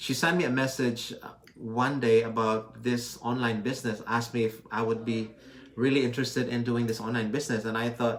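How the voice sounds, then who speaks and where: A man talks at a moderate pace and medium pitch with fairly even intonation. Noticeable background noise and audible room echo surround him. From Philippines. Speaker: physical therapist and online business owner. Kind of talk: live stream chat.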